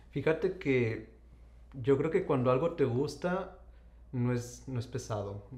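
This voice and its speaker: With vocal fry and a medium pitch, a man speaks at a very slow pace, using lively intonation and long, frequent pauses. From Saltillo, Coahuila, Mexico. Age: young. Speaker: endocrinologist. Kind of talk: interview.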